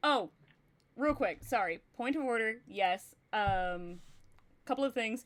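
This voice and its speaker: A woman speaks in an American accent, fairly high in pitch, with lively intonation and very even loudness. Her pace is very slow, with long, frequent pauses. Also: very clean recording, silent background. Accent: Texan, gets thicker when talking about Texas. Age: 30s. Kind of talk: casual livestream chat. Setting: livestream. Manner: animated.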